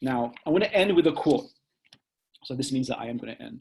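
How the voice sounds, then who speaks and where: A man speaks loudly. His pitch shows ordinary variation. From Singapore. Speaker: professor. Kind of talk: lecture.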